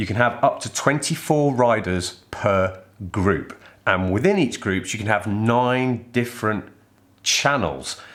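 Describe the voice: A man talks at a fairly slow pace with few pauses, a fairly low pitch and ordinary pitch variation. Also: fairly bright tone.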